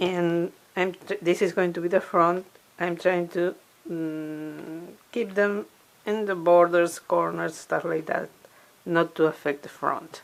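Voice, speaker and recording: In a non-native accent, a woman speaks very slowly with monotone, flat intonation. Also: fairly low pitch for a woman. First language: not English. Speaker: crafter and DIY video maker. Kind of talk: tutorial. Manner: halting.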